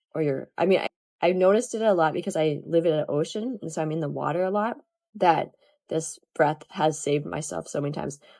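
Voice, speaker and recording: Speaking at a fairly quick pace, a woman uses a very deep, low pitch and a dark, mellow tone with vocal fry. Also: ordinary pitch variation. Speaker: yoga teacher. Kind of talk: online class talk.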